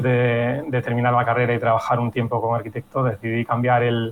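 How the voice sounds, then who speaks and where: A man talks in a monotone, flat intonation. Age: 30s. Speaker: real estate consultant and blogger. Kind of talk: podcast interview.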